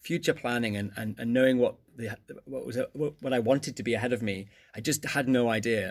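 A man's medium-pitched voice in an English accent, fairly quick, with ordinary pitch variation, on a very clean recording with a silent background. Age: 30s. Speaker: economics teacher. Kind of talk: casual interview. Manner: energetic; hesitant, many fillers.

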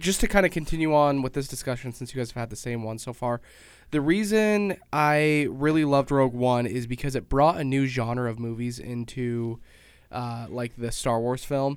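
A man with a plain, everyday voice, medium pitch, ordinary pitch variation and a moderate pace, on a very clean recording with a silent background. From Utah, Pleasant Grove. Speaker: show regular. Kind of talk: casual chat. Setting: studio.

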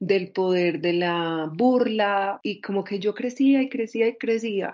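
A woman with an Antioquia Colombian accent speaks very slowly at medium pitch, with ordinary pitch variation and a quiet background. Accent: Colombian Paisa (Antioquia) Spanish. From Medellín, Colombia. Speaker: Afro-feminist activist. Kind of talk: interview testimony.

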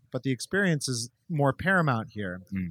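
In an American accent, a man with an ordinary speaking voice talks at a fairly quick pace in a very clean recording with a silent background and a dry, close sound with no echo. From Minnesota, Minneapolis suburbs. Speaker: chef and restaurateur. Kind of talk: casual interview. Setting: in person at his restaurant.

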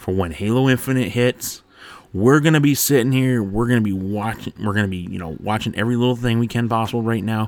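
Ordinary pitch variation in plain reading aloud

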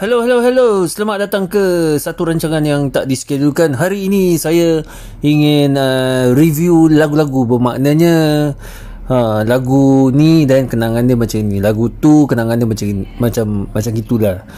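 Lively intonation carries through at a fairly slow pace amid noticeable background noise. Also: man, fairly high pitch for a man. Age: 20s. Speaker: music reviewer. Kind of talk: casual music review. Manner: hesitant, many fillers.

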